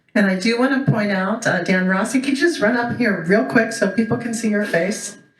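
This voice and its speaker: Her tone is animated as a woman with a fairly high pitch talks at a fairly quick pace. She leaves hardly any pauses, and there is audible room echo. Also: ordinary pitch variation. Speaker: board member and event emcee. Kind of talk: event welcome speech. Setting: stage with audience. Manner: loud.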